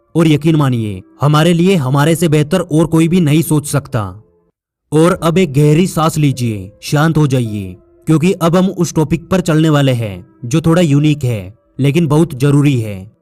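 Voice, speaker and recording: With music in the background, a man speaks in a fairly high voice with lively intonation. His loudness stays very even. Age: 20s. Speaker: motivational speaker. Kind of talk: motivational speech.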